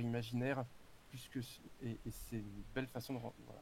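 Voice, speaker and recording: The man's medium-pitched voice moves along at a fairly quick tempo. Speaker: actor and tabletop game author. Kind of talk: casual chat. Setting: live stream voice chat. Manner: halting, many hesitations.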